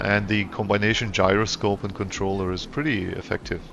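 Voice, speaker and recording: A man's very deep, low voice, monotone and flat, at a moderate pace over noticeable background noise. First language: not English. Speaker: gaming streamer. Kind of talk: gameplay commentary. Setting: live stream. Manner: casual, halting with self-corrections.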